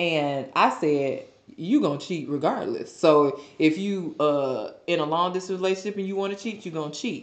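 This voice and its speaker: A woman speaks in a normal speaking voice, pitched fairly low, at a moderate pace. Her intonation is lively, with hardly any pauses. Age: 20s. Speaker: podcast co-host. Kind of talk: casual chat.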